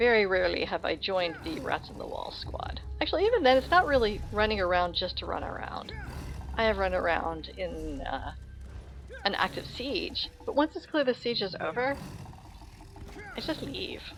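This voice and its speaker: Mumbling with big swings in loudness, music in the background. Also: woman, moderate pace. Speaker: gaming streamer. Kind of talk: casual chat. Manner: soft-spoken.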